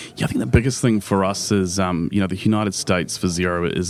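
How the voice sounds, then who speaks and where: Talking at a very fast pace, a man uses a very deep, low voice with a New Zealand accent. His intonation stays fairly even. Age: young. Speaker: business executive. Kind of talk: interview. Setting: live at a conference.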